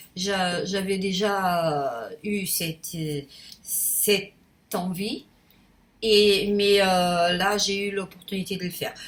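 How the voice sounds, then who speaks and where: Her pitch sits in the medium range for a woman. She talks at a very slow pace. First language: Portuguese (speaking French). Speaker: YouTuber. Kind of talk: casual vlog monologue. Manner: halting, many hesitations; spontaneous, unedited.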